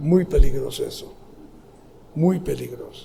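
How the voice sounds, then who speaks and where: Audible room echo surrounds the recording. A man talks at a fairly slow pace. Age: 70s. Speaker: pastor. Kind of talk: sermon. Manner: halting.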